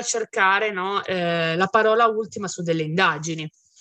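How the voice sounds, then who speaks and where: A woman speaks in a plain, everyday voice. Her pitch is medium and varies in an ordinary way. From Piedmont, Italy (Bardonecchia, Turin province). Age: 30s. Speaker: criminologist and writer. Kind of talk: interview. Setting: Turin, near a museum.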